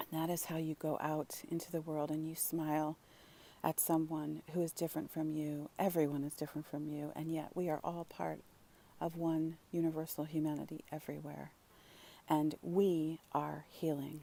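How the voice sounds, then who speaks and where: The tone is dark and mellow. Delivery is at a moderate pace with monotone, flat intonation. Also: woman, very deep, low pitch for a woman. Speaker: spiritual vlogger. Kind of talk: casual vlog monologue. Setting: outdoors. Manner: halting.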